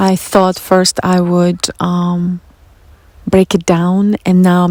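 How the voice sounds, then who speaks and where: Recorded with a dry, close sound and no echo, a woman speaks in a Russian accent at medium pitch with fairly even intonation. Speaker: spiritual podcast host. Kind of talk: personal monologue.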